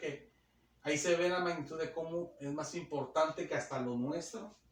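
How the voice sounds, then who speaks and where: A man speaks over noticeable background noise. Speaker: preacher. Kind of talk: sermon. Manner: fast.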